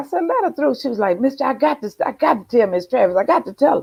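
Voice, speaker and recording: A woman speaks in an animated tone, her pitch swinging very widely. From US South. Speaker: blues singer. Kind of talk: interview.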